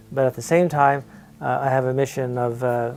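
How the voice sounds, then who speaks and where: There is music in the background as the man talks at a moderate pace. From Canada, St John's, Newfoundland. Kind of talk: documentary interview.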